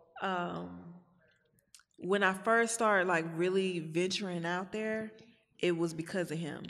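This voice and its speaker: In an American accent, the speaker goes at a fairly slow pace with long, frequent pauses and fairly even intonation, and room echo is audible. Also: woman, fairly low pitch for a woman. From Houston, Texas (north side). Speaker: artist and entrepreneur. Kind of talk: casual interview.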